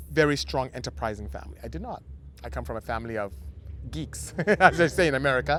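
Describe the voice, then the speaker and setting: A man talks at a very fast pace. He has a Nigerian accent. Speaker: automotive engineer and business owner. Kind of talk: podcast interview. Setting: outdoors in a parking lot.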